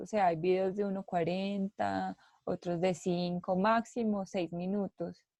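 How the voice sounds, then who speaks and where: In a dark, mellow tone, a woman speaks at a medium pitch and a fairly slow pace, with fairly even intonation and a dry, close sound with no echo. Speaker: content creator. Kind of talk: coaching session. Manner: expressive, varied intonation.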